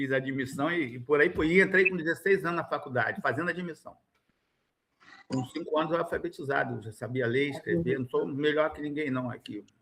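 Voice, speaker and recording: Talking at a fairly quick pace, a man with a fairly high pitch shows ordinary pitch variation and big swings in loudness. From Rio de Janeiro state (Niterói / São Gonçalo). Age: 60s. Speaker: education funding council member. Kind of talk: formal meeting discussion. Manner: emphatic, animated.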